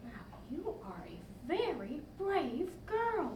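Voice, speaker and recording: The speaker uses a put-on character voice at a very slow pace. There is clear background noise and a slight echo. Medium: stage. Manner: hesitant, halting.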